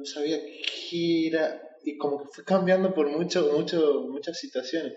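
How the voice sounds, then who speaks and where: Audible room echo around a male voice at a fairly slow pace. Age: 20s. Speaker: life coach. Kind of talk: interview conversation. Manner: halting, many repetitions and fillers.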